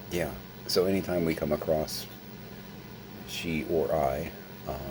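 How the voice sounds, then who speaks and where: A man with a very deep, low pitch and fairly even intonation, with long, frequent pauses and noticeable background noise. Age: 50s. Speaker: vlogger. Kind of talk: casual vlog monologue. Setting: at home, late at night.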